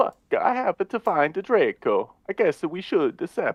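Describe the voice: Plain read-aloud speech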